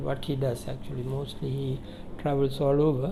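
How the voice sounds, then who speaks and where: A man speaks fairly slowly. Music can be heard behind him. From Sri Lanka. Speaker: Jesuit priest and communication trainer. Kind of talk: interview answer.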